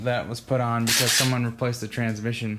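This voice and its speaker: Room echo can be heard in this clip. The voice belongs to a man. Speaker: home mechanic. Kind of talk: casual chat. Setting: garage. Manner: slurred.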